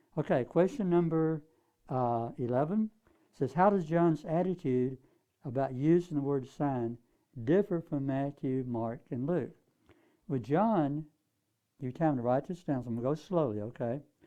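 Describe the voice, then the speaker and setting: The pace is moderate, with ordinary pitch variation. Long pauses come often. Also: man, fairly high pitch for a man. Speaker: Bible study teacher. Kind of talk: lecture.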